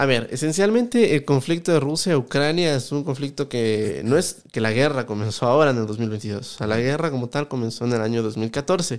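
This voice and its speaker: A man's unremarkable speaking voice at a medium pitch, with ordinary pitch variation and a moderate pace, on a very clean recording with a silent background. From Ecuador, Quito. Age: 20s. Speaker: economist and YouTuber. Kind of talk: podcast interview.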